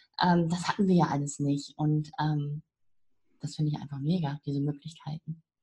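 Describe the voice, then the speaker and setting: The intonation is monotone and flat. The tone sounds dark, mellow, and somewhat breathy. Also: woman, very deep, low pitch for a woman, moderate pace. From northern Germany. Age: 50s. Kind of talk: interview.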